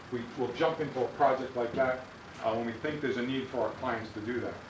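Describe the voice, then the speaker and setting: A man with a medium pitch talks at a very fast pace. There is noticeable background noise and an audible room echo. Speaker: policy consultant presenting to a school board. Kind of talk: sales presentation. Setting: school board meeting.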